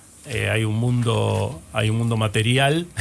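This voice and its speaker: A man's medium-pitched voice in a Rioplatense accent, with ordinary pitch variation. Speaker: radio host and astrologer. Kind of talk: radio show monologue.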